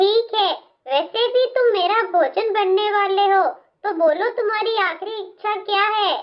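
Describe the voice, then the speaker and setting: A cartoonish character voice that sounds female, pitched extremely high. It moves at a fairly slow pace. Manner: cackling.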